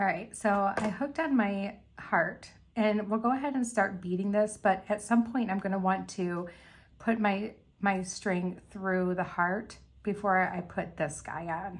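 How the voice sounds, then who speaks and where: Fairly slow speech from a woman, her voice somewhat breathy. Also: medium pitch for a woman, ordinary pitch variation. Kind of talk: tutorial. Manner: casual chatty.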